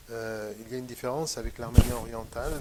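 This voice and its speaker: Over noticeable background noise, a man with a Western Armenian accent talks at a fairly quick pace in a medium pitch with monotone, flat intonation. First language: Western Armenian (speaking French). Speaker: painter. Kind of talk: interview conversation. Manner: hesitant, many fillers.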